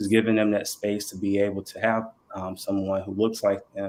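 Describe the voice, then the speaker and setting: With a Southern US accent, the voice moves at a moderate pace in a monotone, flat intonation, in a very clean recording over a silent background. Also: man. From North Carolina (Burlington). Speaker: mental health counselor. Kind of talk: podcast panel introduction. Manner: halting, many fillers.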